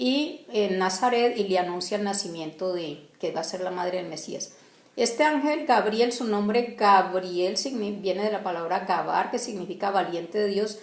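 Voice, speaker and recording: A woman speaks at a moderate pace with lively intonation and hardly any pauses, with audible room echo and noticeable background noise. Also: medium pitch for a woman. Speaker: bible teacher. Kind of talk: religious teaching talk. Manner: halting, many fillers and restarts.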